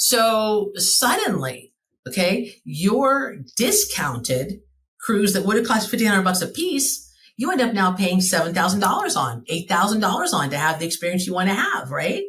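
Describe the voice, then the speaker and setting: An American-accented woman talks in an animated tone. Her medium-pitched voice swings very widely in pitch. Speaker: travel franchise owner. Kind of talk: podcast interview. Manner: fast.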